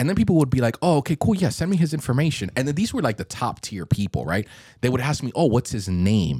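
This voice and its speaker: A man's medium-pitched voice with vocal fry, very wide pitch swings and a dark, mellow tone, delivered at a very fast pace in a very clean, silent recording with a dry, close sound and no echo. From Miami. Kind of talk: casual chat.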